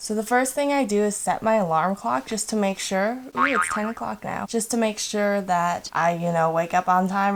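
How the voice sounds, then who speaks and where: The speaker is quiet, with lively intonation and a moderate pace, over noticeable background noise. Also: woman. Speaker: lifestyle vlogger. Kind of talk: casual vlog narration. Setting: at home at night, others sleeping. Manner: casual.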